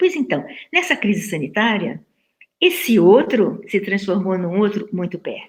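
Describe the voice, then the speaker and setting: Her voice is medium in pitch and somewhat breathy, with lively intonation. The woman speaks at a fairly slow pace. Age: 70s. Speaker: professor. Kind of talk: lecture.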